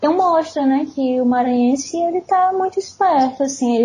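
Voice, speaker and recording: At a moderate pace, a woman is speaking. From Brazil, São Luís, Maranhão. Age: 30s. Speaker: writer. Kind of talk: casual chat.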